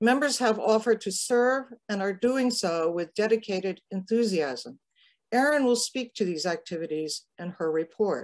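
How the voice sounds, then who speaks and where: Her pitch swings very widely as the woman talks at a moderate pace. The background is quiet. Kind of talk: formal meeting report. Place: home room. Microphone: webcam.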